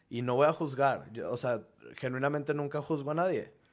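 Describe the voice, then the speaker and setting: A man speaks in a normal speaking voice at a moderate pace. His intonation is fairly even, captured in a very clean recording with a silent background. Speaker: content creator who moved to a new city. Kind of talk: casual chat.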